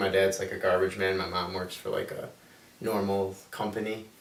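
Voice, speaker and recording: There is noticeable background noise and audible room echo as a man with an American accent talks at a moderate pace. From Illinois, Chicago area. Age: 20s. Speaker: college student. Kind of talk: interview.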